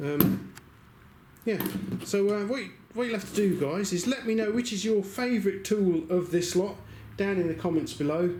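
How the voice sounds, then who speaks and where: A man with an English accent and a high pitch speaks at a moderate pace with ordinary pitch variation and long, frequent pauses, amid noticeable background noise and audible room echo. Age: 60s. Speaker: YouTuber reviewing secondhand tools. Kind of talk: casual vlog talk to camera. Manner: chatty, hesitant with fillers.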